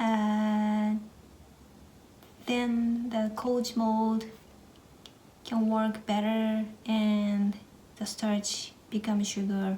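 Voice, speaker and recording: There is audible room echo and noticeable background noise as a woman with a Japanese accent speaks at a fairly high pitch. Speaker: cooking vlogger. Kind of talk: tutorial. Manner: halting, with many fillers.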